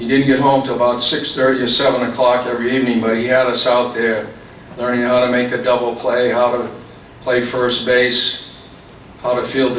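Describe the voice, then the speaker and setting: A man's medium-pitched, monotone, flat voice at a moderate pace, with noticeable background noise and audible room echo. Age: 70s. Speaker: hall of fame inductee, former baseball player. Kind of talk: acceptance speech. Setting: ceremony with audience.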